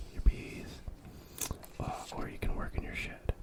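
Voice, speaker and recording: Someone whispers at a moderate pace. Noticeable background noise sits under the voice. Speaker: board game reviewer. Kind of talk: ASMR board game review. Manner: soft-spoken, whispered.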